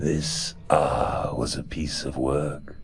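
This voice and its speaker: A man talks at a very slow pace in a put-on character voice. Background noise is clearly audible. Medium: read story. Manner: languid, erudite, mocking.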